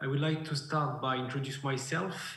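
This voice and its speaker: A man's somewhat breathy voice moves at a moderate pace, with room echo clearly audible. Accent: French. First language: French. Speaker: beekeeper and researcher. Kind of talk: conference presentation. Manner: halting.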